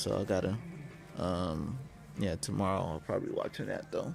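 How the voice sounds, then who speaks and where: Soft-spoken and dark, mellow in tone, the voice moves at a moderate pace. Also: man. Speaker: gaming streamer. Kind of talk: casual chat. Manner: halting.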